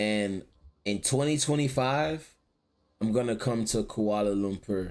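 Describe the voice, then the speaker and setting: In a very clean recording with a silent background, a man speaks at a medium pitch and a fairly slow pace, with very even loudness and ordinary pitch variation. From Florida, US. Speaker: streamer. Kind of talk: casual chat.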